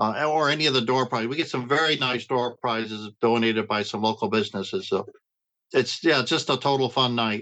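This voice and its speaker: Speaking at a fairly quick pace, a man with an American accent has a bright, sharp tone and ordinary pitch variation. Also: medium pitch for a man, quiet background. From Upstate New York. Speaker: veteran. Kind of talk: interview. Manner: halting.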